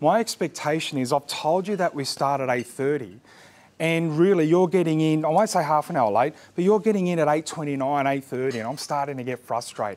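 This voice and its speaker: Speaking fairly quickly with lively intonation, a man with an Australian accent has a fairly high pitch. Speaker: business coach. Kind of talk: workshop presentation. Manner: loud.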